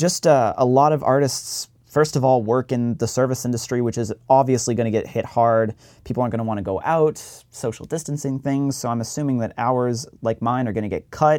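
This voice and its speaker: At a fairly quick pace, a man with an American accent and medium pitch speaks in a very clean recording with a silent background. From Massachusetts, near Plymouth. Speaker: podcast host. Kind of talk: podcast monologue intro; casual interview chat. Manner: less energetic than usual.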